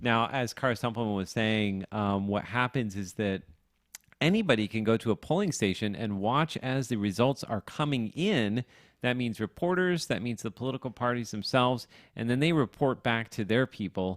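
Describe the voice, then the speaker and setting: In a very clean recording with a silent background and a dry, close sound with no echo, a man with a plain, everyday voice speaks at a moderate pace and medium pitch with ordinary pitch variation. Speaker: radio host. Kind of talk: live election coverage. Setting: studio.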